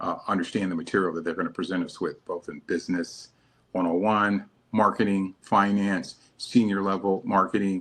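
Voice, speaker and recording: This man has a plain, everyday voice with fairly low pitch. His intonation stays fairly even and his pace is moderate. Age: 60s. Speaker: former reality TV contestant and author. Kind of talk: interview.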